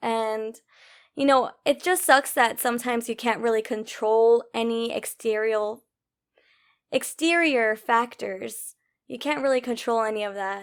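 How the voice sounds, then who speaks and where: A normal speaking voice from a woman, fairly high-pitched and fairly slow, its pitch varying in an ordinary way. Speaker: podcast host. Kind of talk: casual podcast talk.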